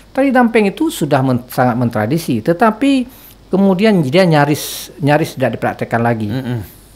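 A man with a fairly high pitch talks at a fairly quick pace, his voice making very wide pitch swings. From Aceh, Indonesia. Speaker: anthropologist, university lecturer; university lecturer. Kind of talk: interview, expert commentary. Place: studio. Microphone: studio mic.

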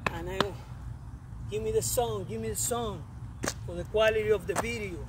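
The background noise is noticeable, and the sound is dry with no echo. A man speaks at a moderate pace. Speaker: fitness coach. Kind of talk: motivational workout talk. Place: open country.

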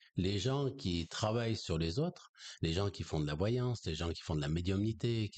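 Speaking at a moderate pace over a quiet background, a man uses a very deep, low pitch with lively intonation. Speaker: energy healer and spiritual teacher; spiritual teacher. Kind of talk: conversational interview on esoteric topics; interview answer. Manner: hesitant, many fillers. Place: home room. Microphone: studio mic.

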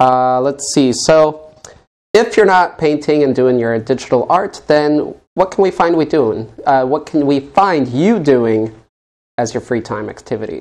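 Using a normal speaking voice, a man speaks at a fairly slow pace and a fairly high pitch, with lively intonation. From Colorado, US. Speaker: interview show host. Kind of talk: casual interview chat. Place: studio.

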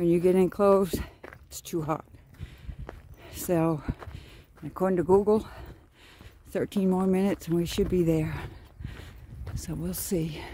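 The speech comes at a fairly slow pace with long, frequent pauses, a dry sound with no echo, and light background noise. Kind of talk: casual vlog chat. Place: open country. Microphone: phone near.

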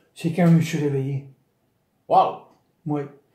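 There is a man with a dark, mellow tone. Audible room echo sits over a quiet background. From Quebec, Chaudière-Appalaches region; Quebec. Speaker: retired bicycle retailer, brain injury survivor; interviewee. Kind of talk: interview testimony. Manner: halting, many repetitions. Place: home room. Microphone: phone near.

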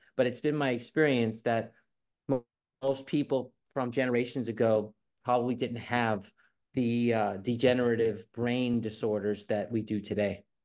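A man talks at a moderate pace with fairly even intonation. The background is quiet. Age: 50s. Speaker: guest promoting health products. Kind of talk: product promotion. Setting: video call. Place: home room. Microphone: video call.

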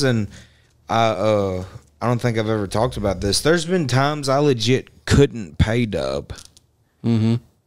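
Intonation rises and falls in a lively way. The man speaks against a quiet background. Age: 20s. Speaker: rapper; podcast guest or host. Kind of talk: casual chat. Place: studio. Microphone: studio mic.

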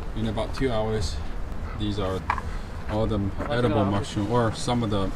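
A man's fairly low voice at a moderate pace, with fairly even intonation and clear background noise.

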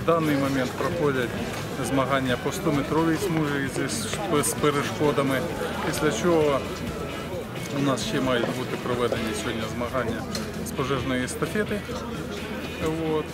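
A man speaking with long, frequent pauses and ordinary pitch variation over loud background music. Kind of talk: interview answer. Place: stadium.

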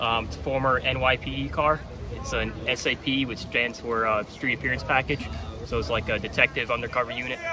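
Noticeable noise runs behind a man who speaks at a moderate pace. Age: 20s. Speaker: car enthusiast. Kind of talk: casual interview. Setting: outdoors at car meet, windy. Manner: halting with fillers. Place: street. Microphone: phone near.

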